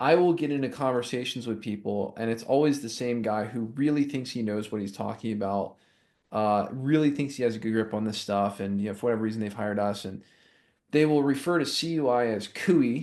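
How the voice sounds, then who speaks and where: A man with an American accent talks at a fairly quick pace and medium pitch with ordinary pitch variation, over a quiet background. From US South. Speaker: compliance consultant, podcast co-host. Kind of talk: casual chat. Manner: fast.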